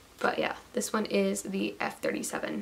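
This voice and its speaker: A woman speaks over noticeable background noise. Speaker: beauty vlogger. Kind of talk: haul video. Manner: casual, halting with fillers.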